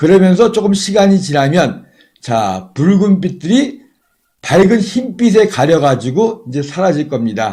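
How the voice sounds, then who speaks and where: A man with a high voice talks fairly slowly, his pitch swinging very widely. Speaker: astronomy livestream commentator. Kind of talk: live commentary.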